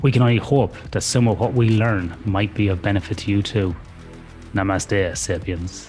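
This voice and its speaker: Music plays behind a man with a fairly low pitch. His loudness stays very even. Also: ordinary pitch variation, moderate pace. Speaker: podcast host. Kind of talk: podcast intro and interview talk.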